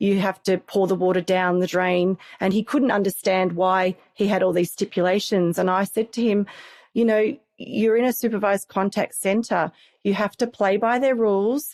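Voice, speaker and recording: In an Australian accent, the speaker talks at a moderate pace with fairly even intonation and very even loudness. The sound is dry and close with no echo, a very clean recording with a silent background. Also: woman, medium pitch for a woman. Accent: Australian, sometimes mistaken for English. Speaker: family conflict coach and program manager. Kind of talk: podcast interview. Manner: hesitant, with repeated words.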